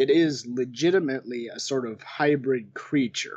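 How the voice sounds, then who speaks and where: A man's lively intonation at a fairly slow pace. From western Wisconsin, US Upper Midwest. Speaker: paranormal researcher. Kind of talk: casual interview.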